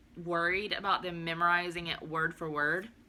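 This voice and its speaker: A woman with a fairly low pitch and a bright, sharp tone speaks at a moderate pace. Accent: Southern US. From US South, southern Alabama. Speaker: homeschooling mom vlogger. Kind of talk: casual video chat, curriculum walkthrough. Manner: animated.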